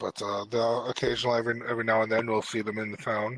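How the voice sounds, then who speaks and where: In a raspy, put-on character voice, a man rattles along at a very fast pace, medium in pitch and monotone, flat in intonation. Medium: actual play. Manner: calm, measured.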